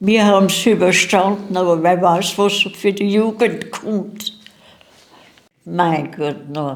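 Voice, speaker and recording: Speaking at a very slow pace, a woman holds a medium pitch with ordinary pitch variation. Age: 80s+. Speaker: war eyewitness. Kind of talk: interview.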